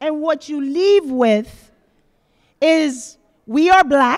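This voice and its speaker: The woman's voice sits high in pitch. She speaks at a very slow pace. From Panama. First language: Spanish. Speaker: author and activist speaking to students. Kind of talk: talk to high school students.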